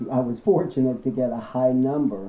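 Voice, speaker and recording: A man talks with an American accent at a medium pitch. His intonation stays fairly even. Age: 60s. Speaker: interviewee. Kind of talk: interview.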